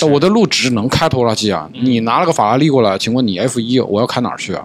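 Very fast male speech with lively intonation against noticeable background noise. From Changsha, Hunan, China. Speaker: podcast host. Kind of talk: casual chat. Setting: studio.

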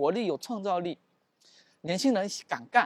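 The speaker is a man with a high voice. He talks at a moderate pace. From Xiamen, Fujian, China. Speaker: PhD student, former deputy town head. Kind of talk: casual interview chat. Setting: outdoors, walking on a university campus.

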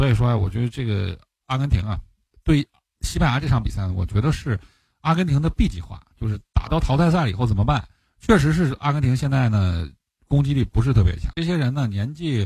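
A man speaks quite quickly at a medium pitch, somewhat breathy and with lively intonation. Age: adult with a job. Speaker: football podcast co-host, analyst. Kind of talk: casual chat.

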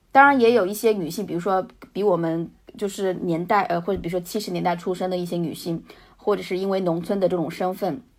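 A woman's very fast speech at a medium pitch, with ordinary pitch variation. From rural China, Hunan-Jiangxi border. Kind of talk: casual interview.

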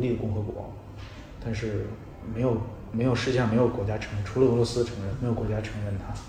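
A man speaks very fast in a flat, monotone delivery at a medium pitch. Noticeable background noise and audible room echo fill the recording. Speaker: travel writer. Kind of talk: casual chat. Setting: in-person interview. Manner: halting.

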